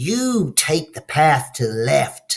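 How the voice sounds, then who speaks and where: A man puts on a character voice at a medium pitch. He moves at a very slow pace with lively intonation. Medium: read story.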